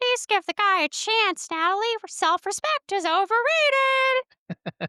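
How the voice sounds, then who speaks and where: A woman uses a put-on character voice with an extremely high pitch. She speaks at a fairly slow pace. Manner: silly.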